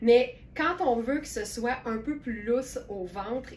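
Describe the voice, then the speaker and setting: With noticeable background noise behind her, a woman speaks in a Quebec accent at a fairly slow pace. Her pitch is fairly high and her intonation lively. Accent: Québécois French. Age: 60s. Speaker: online clothing store owner and live sales host. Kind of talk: live-stream sales presentation. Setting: live stream. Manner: casual, chatty with filler hesitations.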